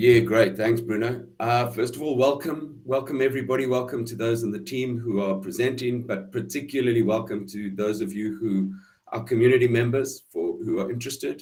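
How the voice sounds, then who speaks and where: A fairly quick, somewhat breathy delivery with ordinary pitch variation. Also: man. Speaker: team member of a blockchain project. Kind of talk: online town hall presentation. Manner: hesitant, many fillers.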